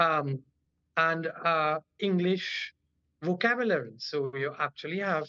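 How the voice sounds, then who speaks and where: With a Trinidadian accent, a man with a fairly high voice speaks very slowly, his pitch varying in an ordinary way. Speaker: general practitioner and cultural activist. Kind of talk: interview.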